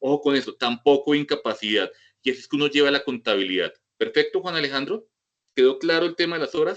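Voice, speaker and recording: Big swings in loudness run through speech delivered at a very fast pace. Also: man. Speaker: medical professor. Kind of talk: lecture with Q&A. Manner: informal, direct.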